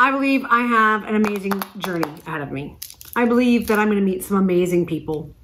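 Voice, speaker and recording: With an American accent, a woman at medium pitch speaks in an animated tone with lively intonation over noticeable background noise. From Texas. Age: 40s. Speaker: spiritual vlogger. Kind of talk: casual vlog monologue.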